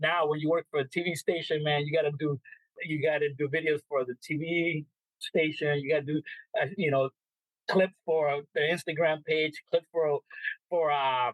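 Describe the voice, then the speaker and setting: With a Spanish accent, a man speaks at a moderate pace in a fairly high, monotone, flat voice. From El Salvador. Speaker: sports reporter and media relations manager. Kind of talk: interview answer. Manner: casual.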